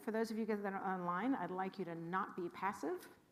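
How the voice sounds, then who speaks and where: A woman speaks with a Californian accent. Audible room echo surrounds her voice. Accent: Californian American. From California, Los Angeles. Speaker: rabbi. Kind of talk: info session talk to congregation. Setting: room with live audience and livestream. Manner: animated.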